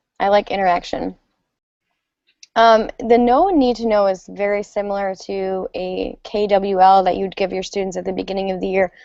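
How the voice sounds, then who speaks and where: A woman's dark, mellow tone with fairly even intonation, in an American accent. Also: medium pitch for a woman, moderate pace. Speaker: educator, former English teacher. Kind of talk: conference presentation. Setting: online video conference, sharing screen.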